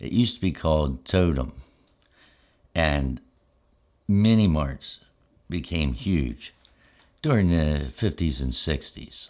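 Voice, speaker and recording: Very slow and very deep, a man speaks with lively intonation and long, frequent pauses in a very clean recording with a silent background. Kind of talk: ASMR storytelling.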